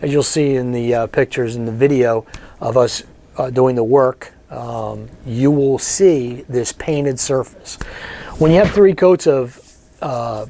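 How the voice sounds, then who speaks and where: Speaking at a fairly slow pace, a man uses a medium pitch with ordinary pitch variation. Noticeable background noise runs under his voice. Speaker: wood restoration contractor. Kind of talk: casual storytelling to camera. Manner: conversational, hesitant with fillers.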